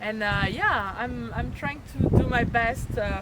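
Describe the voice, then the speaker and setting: A woman with a French accent, medium in pitch, speaking at a fairly slow pace amid audible room echo. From France, Chalon-sur-Saône. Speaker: nature photographer and tour leader. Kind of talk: casual interview chat. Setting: on location at a birding event. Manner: animated.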